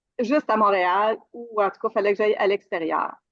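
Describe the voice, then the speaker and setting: The sound is dry and close, without any echo. Her voice sits at a medium pitch, and this woman's pitch varies in an ordinary way. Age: 60s. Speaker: retired IT worker, coaching client. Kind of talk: interview testimony. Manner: halting, many fillers.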